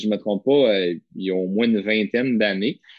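With a Quebec accent, a man talks at a fairly low pitch with fairly even intonation. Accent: Québécois French. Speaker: podcast co-host. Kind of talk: casual chat.

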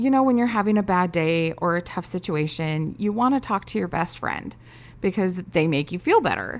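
Using a plain, everyday voice, a woman at medium pitch speaks at a moderate pace with lively intonation. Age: 30s. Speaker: podcast host. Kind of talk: personal introduction monologue.

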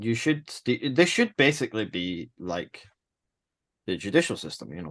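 Vocal fry from a man with a Scottish accent, fairly low in pitch with very wide pitch swings, in a quiet background. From Scotland. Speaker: chess tournament organizer. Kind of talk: casual chat.

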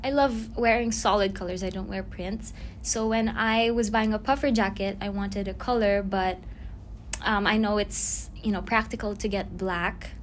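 At a moderate pace, a woman with a medium pitch talks in fairly even intonation, with audible room echo around her. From Philippines. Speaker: fashion brand owner and student. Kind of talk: casual chat.

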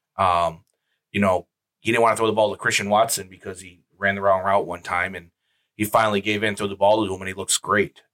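Recorded very clean with a silent background and a dry, close sound with no echo, a man speaks at a fairly quick pace in a fairly low pitch, his bright, sharp tone held in a monotone, flat intonation. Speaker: podcast co-host. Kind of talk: casual chat.

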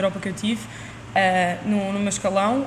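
Noticeable background noise is present throughout. Over it, the delivery stays monotone, flat in intonation. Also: woman. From Lisbon, Portugal. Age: young. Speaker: university student and table tennis athlete. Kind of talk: casual interview.

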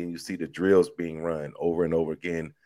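At a moderate pace, the speaker talks with an American accent on a very clean recording with a silent background. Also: man. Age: 40s. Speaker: fan and army veteran. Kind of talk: casual chat.

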